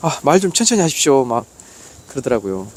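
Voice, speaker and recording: A man with a fairly high pitch talks in an animated tone, his pitch swinging very widely. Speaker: barefoot walking vlogger. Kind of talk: casual vlog monologue. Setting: outdoors on a mountain trail.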